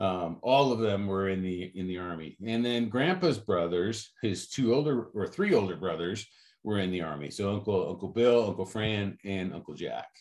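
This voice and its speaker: A man with an American accent and an ordinary speaking voice talks at a moderate pace, his fairly low pitch showing ordinary pitch variation. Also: hardly any pauses. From Chicago suburbs, US Midwest. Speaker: businessman, Marine veteran, father. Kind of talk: casual interview.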